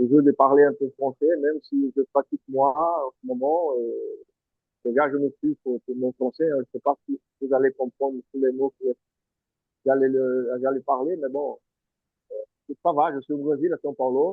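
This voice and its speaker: With a Portuguese accent, a man speaks at a fairly slow pace in a fairly high pitch, his intonation fairly even and broken by long, frequent pauses. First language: Portuguese (speaking French). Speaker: former professional footballer. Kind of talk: interview. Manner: halting.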